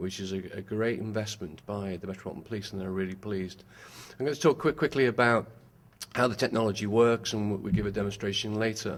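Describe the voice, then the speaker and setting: A man with a British accent, fairly low in pitch, talking at a very fast pace with ordinary pitch variation. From UK. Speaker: company executive and former police officer. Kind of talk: press conference presentation.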